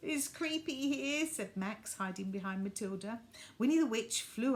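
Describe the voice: Plain reading aloud carries lively intonation.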